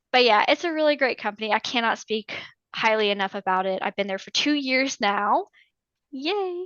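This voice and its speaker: A plain, everyday voice: a woman with an American accent at a moderate pace. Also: fairly high pitch for a woman. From US South, northern Georgia. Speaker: navy veteran and veterans claims consultant. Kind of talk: interview.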